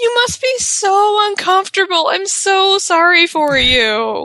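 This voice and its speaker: Using a put-on character voice at an extremely high pitch, a woman speaks fairly slowly with lively intonation and very even loudness. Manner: mocking.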